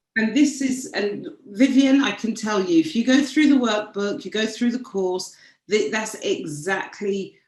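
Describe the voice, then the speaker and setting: Somewhat breathy, a woman with a British accent speaks at a fairly slow pace with lively intonation. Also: fairly high pitch for a woman. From United Kingdom. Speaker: branding strategist. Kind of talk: interview.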